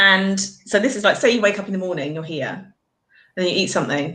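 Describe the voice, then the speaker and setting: A woman speaks with a British accent. Her pitch is medium. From Britain. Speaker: nutritional therapist. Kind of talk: explanation in live video chat. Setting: live video call.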